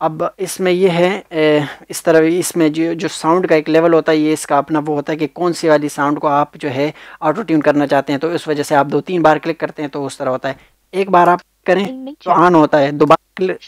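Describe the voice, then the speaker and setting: The recording is very clean, dry and close, with a silent background and no echo. A man speaks at a moderate pace in a fairly high voice with fairly even intonation. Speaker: tech tutorial YouTuber. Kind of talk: tutorial. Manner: casual, hesitant with fillers.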